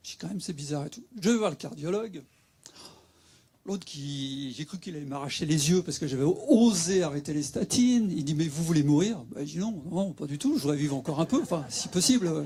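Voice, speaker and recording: Delivered at a fairly quick pace, this voice has a dark, mellow tone, lively intonation and big swings in loudness. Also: man, fairly high pitch for a man. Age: 60s. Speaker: patient sharing experience. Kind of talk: testimony. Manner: halting.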